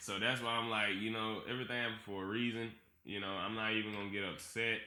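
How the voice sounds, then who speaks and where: Speaking very fast, a man has a Georgia accent and a medium pitch. Room echo is audible. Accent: Southern US, Georgia. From Georgia, US. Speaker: podcast guest, former dancer. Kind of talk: casual chat. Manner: animated.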